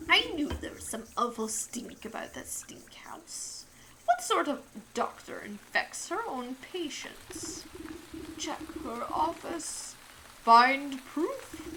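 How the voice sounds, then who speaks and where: A woman whispers in a put-on character voice at a very slow pace. Background noise is clearly audible. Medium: game stream. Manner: halting, clipped phrases.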